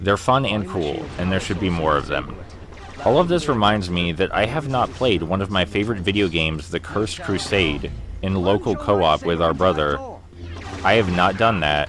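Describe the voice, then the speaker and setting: Noticeable background noise runs under a voice speaking at a moderate pace with ordinary pitch variation. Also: man, very deep, low pitch for a man. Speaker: gamer. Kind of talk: let's play commentary.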